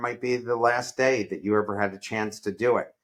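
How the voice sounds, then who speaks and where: A man talks in an unremarkable speaking voice at a medium pitch with fairly even intonation. The recording is very clean, with a silent background. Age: 60s. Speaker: entrepreneur and professor. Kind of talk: interview.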